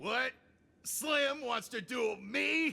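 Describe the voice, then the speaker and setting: A man uses a put-on character voice, raised and projected, at an extremely high pitch. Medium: video game. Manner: swaggering, mocking.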